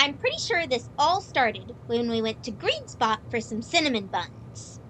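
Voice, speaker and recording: A put-on character voice, female-sounding, bubbly and playful, high in pitch, at a moderate pace, over clear background noise. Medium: audio drama. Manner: bubbly, playful.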